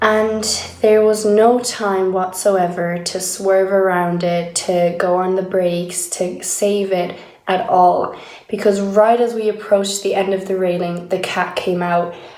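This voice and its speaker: In a room with audible echo, a woman talks at a very slow pace with monotone, flat intonation. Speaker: video diarist. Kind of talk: personal video diary.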